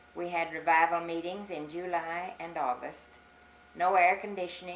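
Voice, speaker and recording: A woman with an American accent is heard with audible room echo and noticeable background noise. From US South, Arkansas Ozarks. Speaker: elderly church member. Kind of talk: oral history interview.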